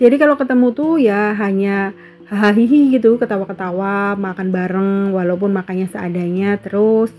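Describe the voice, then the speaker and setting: Over music in the background, a woman speaks at medium pitch and a moderate pace with ordinary pitch variation. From Central Java, Banyumas region (Purbalingga). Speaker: housewife vlogger. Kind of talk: casual vlog chat. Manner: casual, hesitant with fillers.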